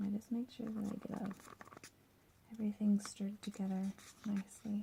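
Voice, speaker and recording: Noticeable background noise sits behind a soft-spoken woman at a medium pitch. She talks fairly quickly in a monotone, flat intonation. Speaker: cosplay crafter. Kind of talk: tutorial with ASMR twist, casual talk to camera.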